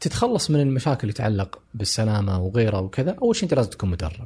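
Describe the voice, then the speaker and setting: Fairly quick and somewhat breathy, a man with a Saudi accent speaks in a fairly low pitch with a dark, mellow tone. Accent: Gulf Arabic (Saudi dialect). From Saudi Arabia. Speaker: traveler and adventure tour operator. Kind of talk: casual interview. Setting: studio.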